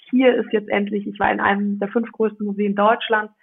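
This woman's voice sits at a medium pitch. She delivers her lines in a flat, monotone way. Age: 20s. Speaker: family business successor. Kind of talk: interview.

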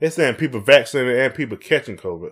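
This man has a Southern US accent. The recording is very clean, with a silent background. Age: 40s. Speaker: podcast co-host. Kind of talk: casual chat. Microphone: USB microphone, sound issues.

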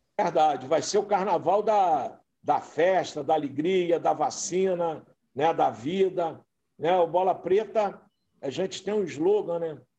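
At a very slow pace, a man speaks at a high pitch in a dark, mellow tone with ordinary pitch variation. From interior of Rio de Janeiro state (Itaocara). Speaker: carnival club president. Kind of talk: interview.

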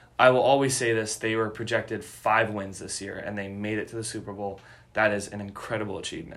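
A man with an American accent, a fairly low pitch, a very fast pace, monotone, flat intonation, big swings in loudness, and audible room echo. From Chicago area, US Midwest. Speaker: sports podcast host. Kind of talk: casual chat.

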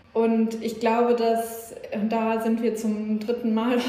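A woman talks at a very slow pace with a fairly high pitch. Noticeable background noise and audible room echo fill the recording. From northern Germany, Schleswig-Holstein. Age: 30s. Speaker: music festival organizer, gender equality initiative member. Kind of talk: interview, casual conversation.

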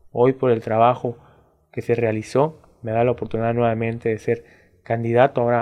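Delivered fairly quickly, the words come out in a monotone, flat intonation. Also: man. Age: 20s. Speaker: political candidate. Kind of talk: interview, campaign talk. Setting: studio.

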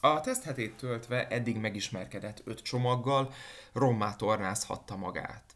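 Using an unremarkable speaking voice, a man talks at a fairly slow pace with medium pitch and fairly even intonation. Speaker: fitness instructor. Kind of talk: scripted narration.

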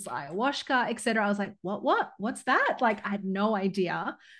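In a plain, everyday voice, a woman speaks at medium pitch and a moderate pace, with ordinary pitch variation against a quiet background. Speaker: business coach. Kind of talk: interview conversation. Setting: LinkedIn live audio event.

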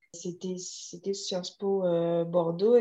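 This is a woman's voice. Its tone is dark and mellow. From Guadeloupe. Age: 30s. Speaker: vegan bakery founder. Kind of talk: interview.

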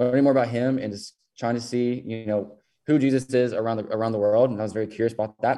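With a Southern US accent, a man talks at a fairly quick pace in a medium pitch, his dark, mellow tone staying monotone and flat. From western Kentucky. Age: 20s. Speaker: nonprofit co-founder. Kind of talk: casual interview.

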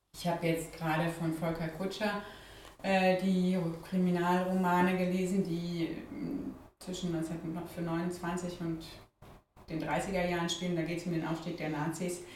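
A woman with a fairly low pitch and monotone, flat intonation at a fairly slow pace, with audible room echo. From Freiburg, south-west Germany. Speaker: parliamentary candidate, politician. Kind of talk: casual interview. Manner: hesitant, many fillers.

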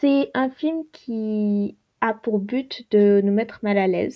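This woman's voice is fairly high, with pitch that moves in an ordinary way. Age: 20s. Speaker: podcaster and university student. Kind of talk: casual solo monologue. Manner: halting, many fillers.

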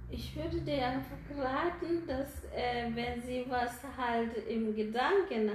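A woman with a Kenyan accent, very slow and somewhat breathy, with audible room echo around her. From Kenya, Nairobi. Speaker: foot care practitioner. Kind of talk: interview. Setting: her foot care studio.

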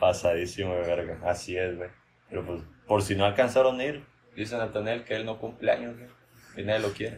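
Somewhat breathy, a man with a fairly low pitch speaks at a fairly quick pace. His loudness swings widely, while his pitch varies in an ordinary way. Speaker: podcast host. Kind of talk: casual comedic chat.

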